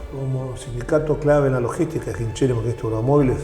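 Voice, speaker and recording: Noticeable background noise and audible room echo surround the recording. A man talks at a fairly quick pace. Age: 60s. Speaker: trade union leader. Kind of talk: interview.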